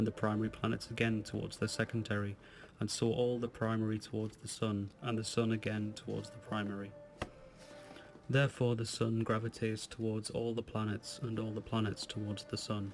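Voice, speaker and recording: Music plays in the background as the speaker talks at a fairly quick pace with monotone, flat intonation. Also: man, fairly low pitch for a man. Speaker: ASMR audiobook reader. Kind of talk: ASMR book reading. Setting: home recording, handheld recorder. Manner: whispered.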